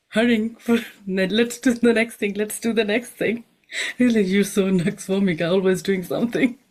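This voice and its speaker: A woman with a non-native accent speaks at a moderate pace, her pitch varying in an ordinary way. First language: not English. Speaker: homeopath and nutritionist. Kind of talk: panel discussion. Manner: hesitant, with fillers.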